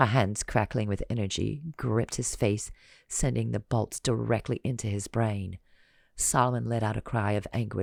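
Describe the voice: The speaker simply reads the text aloud in a plain way.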